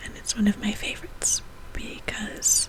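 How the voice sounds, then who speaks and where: Fairly slow whispering from a woman, noticeable background noise behind it. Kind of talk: casual talk to camera. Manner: soft-spoken.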